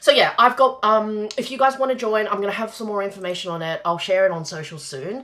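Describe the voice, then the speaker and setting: A woman speaks at a very fast pace with lively intonation over noticeable background noise. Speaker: business coach. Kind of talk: live-streamed masterclass. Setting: live stream.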